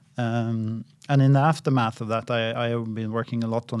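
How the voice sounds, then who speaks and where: Speaking at a moderate pace, a man with a Norwegian accent has a medium pitch. The recording is very clean with a silent background. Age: 50s. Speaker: central bank economist. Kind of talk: interview. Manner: halting.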